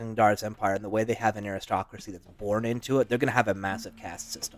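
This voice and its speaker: A man's voice with a fairly low pitch. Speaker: fantasy worldbuilding podcast co-host. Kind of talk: casual chat. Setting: live stream. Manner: loud; animated.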